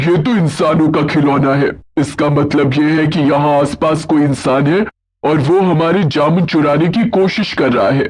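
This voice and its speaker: A man in a cartoonish character voice at fairly high pitch and a moderate pace, with hardly any pauses. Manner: suspicious.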